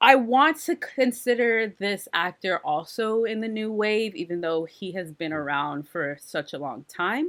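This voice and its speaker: In a very clean recording with a silent background, a woman of medium pitch talks at a fairly slow pace with hardly any pauses and very wide pitch swings. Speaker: podcast co-host bidding in auction.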